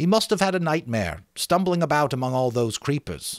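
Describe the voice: A man's fairly high voice with big pitch swings at a moderate pace, on a very clean recording with a silent background.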